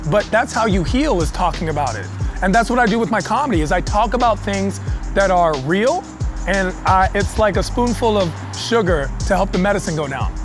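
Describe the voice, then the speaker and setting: Clear music plays behind a man with a high-pitched voice. He talks at a fairly quick pace, and the sound is dry with no echo. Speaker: comedian guest. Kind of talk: interview answer. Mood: reflective, earnest. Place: street.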